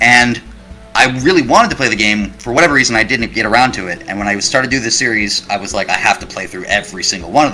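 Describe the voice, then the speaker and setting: Noticeable background noise fills the clip. A man rattles along at a very fast pace, his pitch variation ordinary. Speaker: YouTube creator. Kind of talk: interview.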